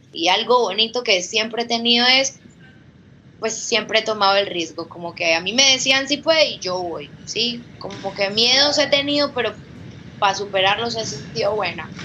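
Over noticeable background noise, a woman with a fairly high pitch and lively intonation speaks at a moderate pace. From Colombia, Villavicencio (Meta). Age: 20s. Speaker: former Olympic gymnast and coach. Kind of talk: testimony.

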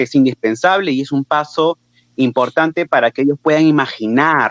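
The speaker talks with a Peruvian accent and ordinary pitch variation. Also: man, dry, close sound with no echo. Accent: Peruvian Spanish (Lima). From Peru, Lima. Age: 20s. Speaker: teacher. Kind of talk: interview.

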